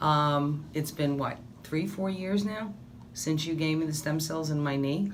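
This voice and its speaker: The pace runs fairly slow. Room echo can be heard throughout. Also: woman. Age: 60s. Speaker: patient. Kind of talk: testimony. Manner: animated.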